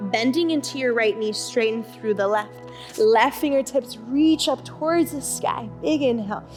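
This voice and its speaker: A woman speaks fairly slowly while music plays in the background. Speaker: yoga instructor. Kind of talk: guided restorative yoga class instruction.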